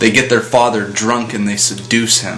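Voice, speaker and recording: Over music in the background, a man talks at a moderate pace and medium pitch in a flat monotone. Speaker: atheist commentator. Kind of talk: casual talk to camera, opinion commentary.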